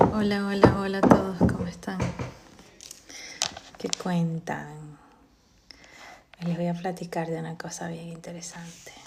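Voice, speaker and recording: A soft-spoken woman with a fairly low voice talks at a fairly slow pace, flat and monotone, with long, frequent pauses and big swings in loudness. Audible room echo and noticeable background noise surround her. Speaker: live stream host. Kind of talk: casual talk on a live stream. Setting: TikTok live stream. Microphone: too quiet at first.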